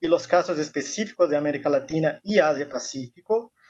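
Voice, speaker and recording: This man talks at a fairly quick pace with a Brazilian accent and ordinary pitch variation. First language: Portuguese (speaking Spanish). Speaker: university professor and researcher. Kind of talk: academic presentation. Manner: halting, with fillers.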